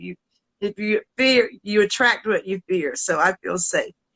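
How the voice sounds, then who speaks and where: A woman's bright, sharp voice at a fairly high pitch, in a Southern US accent, fairly slow in pace, with a dry, close sound and no echo. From US South. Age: 70s. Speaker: singer. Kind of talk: casual chat. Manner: animated.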